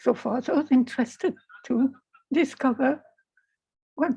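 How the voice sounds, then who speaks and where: A woman's high-pitched voice at a very slow pace. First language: French. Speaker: spiritual video blogger. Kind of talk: personal spiritual talk.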